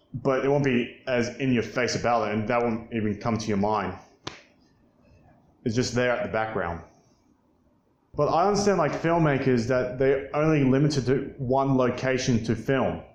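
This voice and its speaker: In a room with audible echo, a man talks at a moderate pace and a medium pitch, with ordinary pitch variation and long, frequent pauses. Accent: American. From Australia. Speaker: YouTuber film commentator. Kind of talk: opinion commentary monologue. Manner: casual, hesitant with fillers.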